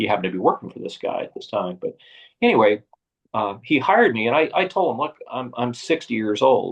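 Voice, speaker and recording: Speaking at a fairly quick pace, a man makes big swings in loudness. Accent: American. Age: 60s. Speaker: retired bike shop owner. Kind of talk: interview storytelling. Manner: halting with frequent fillers.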